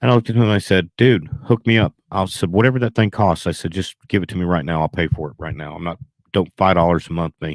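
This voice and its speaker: A man's very deep, low voice with a Southern US accent, ordinary pitch variation and a dry, close sound with no echo. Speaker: beekeeping livestreamer. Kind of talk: casual livestream storytelling. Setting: livestream with laptop, GoPro and Zoom audio. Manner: fast; animated.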